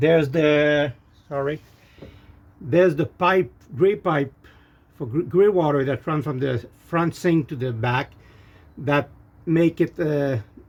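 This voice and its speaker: A man with a French Canadian accent, fairly high-pitched, with ordinary pitch variation and long, frequent pauses. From Quebec, Canada. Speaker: RV owner reviewing parts. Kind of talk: casual product review. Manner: halting, many fillers and repeats.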